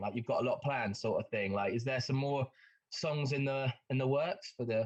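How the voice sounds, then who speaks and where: Man with an English accent, a bright, sharp tone and a fairly quick pace. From England, Bedford. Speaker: podcast interviewer. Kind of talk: casual interview chat. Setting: video call.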